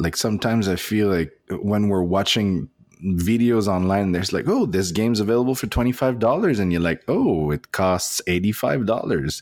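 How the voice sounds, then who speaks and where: On a very clean recording with a silent background, a man with a French accent and a fairly low pitch talks with hardly any pauses, ordinary pitch variation and very even loudness. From Nova Scotia, Canada (francophone). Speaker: board game podcaster. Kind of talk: casual chat. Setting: hotel room. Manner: halting.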